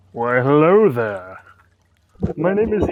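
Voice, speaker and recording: Very wide pitch swings from a man's put-on character voice, pitched fairly high. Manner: polite greeting, put on.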